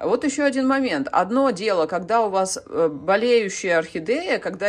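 Her pitch swings very widely. The woman speaks at a fairly slow pace. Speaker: orchid-growing video blogger. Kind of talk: casual vlog tutorial. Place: kitchen. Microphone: phone near.

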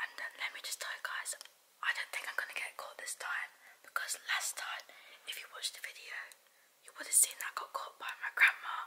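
Someone whispers at a moderate pace. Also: woman. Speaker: vlogger. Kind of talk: casual vlog chat.

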